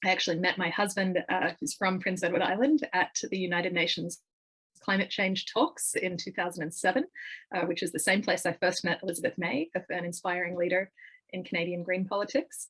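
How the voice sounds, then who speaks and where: This woman has an Australian accent. Her pitch sits in the medium range. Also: ordinary pitch variation, fairly quick pace. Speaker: political party leadership candidate. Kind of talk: interview. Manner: many fillers and repeated words.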